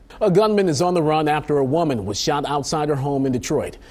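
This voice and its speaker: With noticeable background noise behind him, a man talks fairly quickly, his fairly high voice full of lively intonation. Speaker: TV news anchor. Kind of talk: TV news anchor read. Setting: studio.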